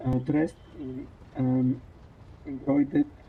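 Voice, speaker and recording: Someone with a non-native accent talks at a very slow pace. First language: not English. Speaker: streamer. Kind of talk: reading game text aloud during let's play. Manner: halting, rereading words.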